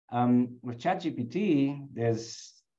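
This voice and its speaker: A man speaks at a medium pitch with a South African accent. His tone is dark and mellow, and audible room echo surrounds it. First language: Afrikaans. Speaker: HR executive. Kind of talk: webinar interview.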